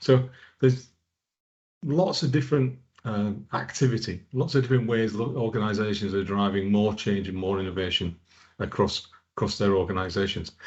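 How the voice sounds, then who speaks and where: Somewhat breathy and fairly low-pitched, a man speaks with a northern English accent. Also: ordinary pitch variation, moderate pace. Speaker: product manager. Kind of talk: conference presentation. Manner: hesitant with repetitions.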